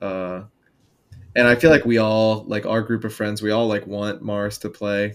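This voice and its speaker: Heard on a very clean recording with a silent background, a man with a normal speaking voice and fairly low pitch keeps a moderate pace and fairly even intonation. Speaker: podcast co-host. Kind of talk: casual podcast chat.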